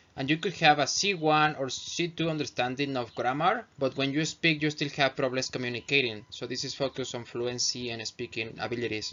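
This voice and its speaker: A man speaks at a fairly quick pace with a non-native accent. His voice is fairly high, with ordinary pitch variation. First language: not English. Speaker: English teacher. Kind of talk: tutorial. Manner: halting.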